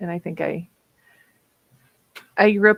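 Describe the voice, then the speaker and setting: A woman with a Minnesota accent at a moderate pace, dry and close with no echo. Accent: Minnesota accent, stretched O's. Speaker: streamer, writer. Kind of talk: casual chat.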